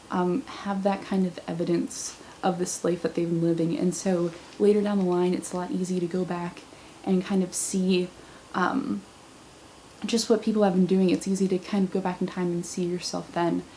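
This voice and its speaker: A woman talks at a moderate pace, her intonation fairly even, while noticeable background noise runs underneath. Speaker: vlogger. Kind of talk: casual vlog monologue. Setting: camera at home, thin-walled room.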